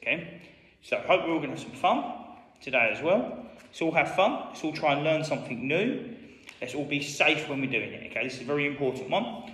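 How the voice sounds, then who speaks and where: A man's fairly quick, lively-intoned speech with big swings in loudness and audible room echo. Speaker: school PE teacher. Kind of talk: tutorial. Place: hall.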